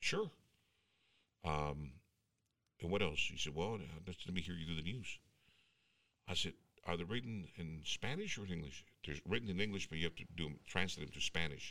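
With an American accent, a man speaks at a moderate pace in a very deep, low pitch and a bright, sharp tone, using ordinary pitch variation and long, frequent pauses. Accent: Mexican American English, Texas. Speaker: radio announcer. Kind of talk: casual chat. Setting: studio. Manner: animated.

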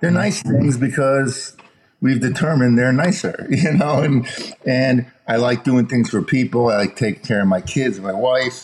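A man with an American accent talks at a moderate pace and a medium pitch. Noticeable background noise accompanies him. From Chicago, US Midwest. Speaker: entertainment executive. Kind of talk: casual interview.

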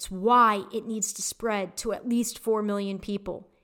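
In an American accent, a woman speaks with a fairly high pitch. Her intonation is flat and monotone, and her pace is fairly slow. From US Midwest, Detroit area, Michigan. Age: 40s. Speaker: podcast host, spiritual guide. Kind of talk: solo monologue podcast. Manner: casual, conversational.

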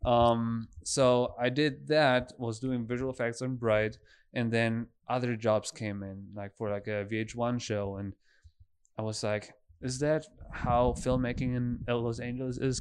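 A man with a German accent speaks at medium pitch and a moderate pace. His intonation stays fairly even over a quiet background. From Germany. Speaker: filmmaker. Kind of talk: casual chat.

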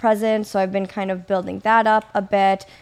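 A woman with an American accent has a normal speaking voice at medium pitch. Her intonation is fairly even. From US Midwest, Kenosha, Wisconsin. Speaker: physical therapist and online fitness coach. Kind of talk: casual interview chat.

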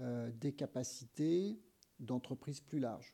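A man's somewhat breathy, dark, mellow voice at a very slow pace, with ordinary pitch variation. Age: 60s. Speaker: engineer and sustainability advocate. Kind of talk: interview. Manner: hesitant, many fillers.

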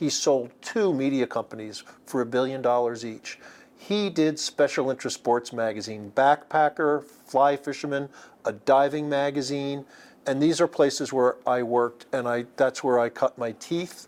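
With an American accent, a man speaks in a plain, everyday voice at a fairly high pitch and a moderate pace, with ordinary pitch variation. The recording is very clean, with a silent background. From US Northeast, Long Island. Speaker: magazine publisher. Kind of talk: interview. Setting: at a pickleball event.

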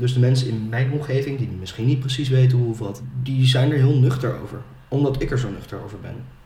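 At a moderate pace, a man speaks in a medium pitch. His intonation is monotone and flat, with audible room echo. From Netherlands, Ede. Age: 20s. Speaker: sales manager. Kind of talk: personal testimony in podcast interview.

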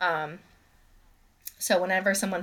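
In an ordinary speaking voice, a woman talks with an American accent at a medium pitch with ordinary pitch variation. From Massachusetts. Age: 20s. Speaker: true crime podcast co-host. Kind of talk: casual chat. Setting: video call.

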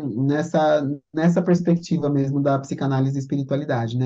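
A woman's very deep, low voice with a dark, mellow tone, fairly even intonation and a moderate pace. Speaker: therapist and spiritual counselor. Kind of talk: casual chat.

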